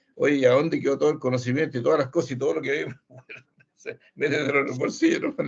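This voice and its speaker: Talking at a very fast pace, the man shows big swings in loudness. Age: 70s. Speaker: course participant. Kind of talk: casual discussion. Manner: halting.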